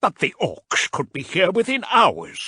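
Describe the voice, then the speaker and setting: Using a put-on character voice, a man growls at a high pitch and a fairly slow pace. The background is quiet and the sound dry and close, with no echo. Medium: read story.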